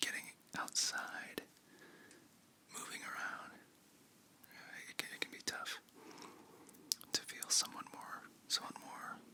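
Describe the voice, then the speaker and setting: Whispering in a gentle tone with long, frequent pauses, over noticeable background noise. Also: fairly slow pace. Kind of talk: ASMR close-up whispering ramble. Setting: very close to the microphone. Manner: whispered, soft, gentle, calming.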